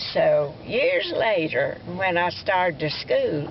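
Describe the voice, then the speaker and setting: Noticeable background noise sits behind a voice with an Alabama accent. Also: woman. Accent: Southern US (Alabama). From US South, Alabama. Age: 90s. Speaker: elderly family storyteller. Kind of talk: oral history storytelling. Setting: outdoors at a cemetery, family visit. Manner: halting, with stammers and fillers.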